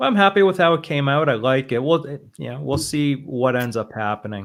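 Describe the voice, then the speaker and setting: A man with an American accent in a normal speaking voice, medium-pitched, fairly quick and lively in intonation. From Boston, US. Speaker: trading simulator developer and stream host. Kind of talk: casual chat.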